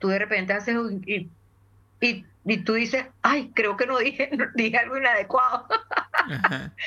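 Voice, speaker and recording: A woman talks at a fairly slow pace with fairly high pitch and ordinary pitch variation. Her tone is bright and sharp. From Venezuela (Caracas). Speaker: voice and communication trainer. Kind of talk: interview.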